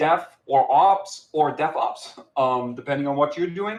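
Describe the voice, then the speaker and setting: With a German accent, a man speaks at a fairly slow pace in a fairly high pitch. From Germany. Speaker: software company founder and CTO. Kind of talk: conference talk. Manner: hesitant, many filler words.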